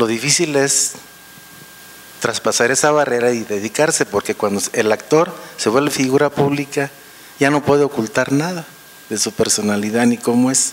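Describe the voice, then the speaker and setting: The speaker moves at a moderate pace with long, frequent pauses and ordinary pitch variation. Noticeable background noise runs underneath. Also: man, medium pitch for a man. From Michoacán, Mexico. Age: 60s. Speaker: audience member. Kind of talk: audience question.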